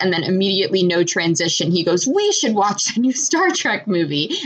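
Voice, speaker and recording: Over noticeable background noise, a woman with an American accent speaks at a moderate pace and medium pitch. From Michigan. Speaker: podcast co-host. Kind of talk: casual chat. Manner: hesitant, many fillers.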